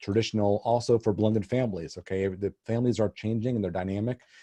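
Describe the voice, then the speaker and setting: At a fairly quick pace, the voice has a dark, mellow tone and ordinary pitch variation, recorded with a dry, close sound, no echo and a quiet background. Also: man. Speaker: estate planning attorney. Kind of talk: webinar presentation. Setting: online webinar. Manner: fast.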